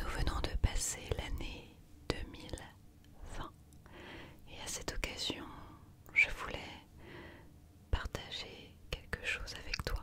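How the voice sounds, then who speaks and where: Whispering in a calm, gentle tone at a very slow pace, the voice leaves long, frequent pauses and swings widely in loudness over noticeable background noise. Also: woman. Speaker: ASMR creator. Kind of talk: ASMR positive affirmations for sleep. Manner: soft, calm, gentle.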